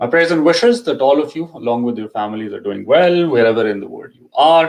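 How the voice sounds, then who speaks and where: A man with a Pakistani accent, fairly quick pace, very wide pitch swings and big swings in loudness. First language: Urdu. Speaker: immigration consultant. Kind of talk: live Q&A info session. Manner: hesitant, many fillers.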